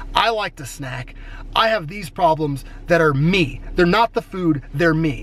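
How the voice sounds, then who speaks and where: Loudness swings widely as a man with a high-pitched voice speaks at a fairly slow pace over noticeable background noise. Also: ordinary pitch variation. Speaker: fitness vlogger. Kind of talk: casual vlog. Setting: home bedroom.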